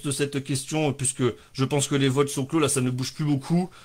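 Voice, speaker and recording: The very clean recording, with its silent background, captures a male speaker. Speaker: livestream comedy show host. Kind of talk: casual live stream chat. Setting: live stream at home with sunset backlight. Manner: fast; animated.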